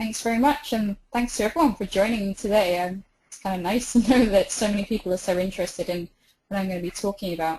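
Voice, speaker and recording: A woman with a British accent speaks at a very fast pace in a dark, mellow tone. Her medium pitch shows ordinary variation, while her loudness swings widely. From England, outside London. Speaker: river researcher. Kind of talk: webinar lecture. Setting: online webinar.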